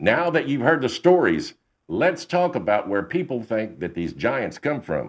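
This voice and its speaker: A man's medium-pitched voice with very wide pitch swings, a dramatic tone, vocal fry and a fairly slow pace. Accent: Texan. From Texas. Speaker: podcast host, storyteller. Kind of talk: narration of paranormal stories. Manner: conversational, dramatic.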